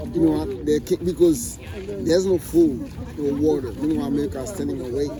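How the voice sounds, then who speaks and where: Through noticeable background noise, a man's speech comes out at a fairly quick pace. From Haiti. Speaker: passerby in street interview. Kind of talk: heated debate. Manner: animated.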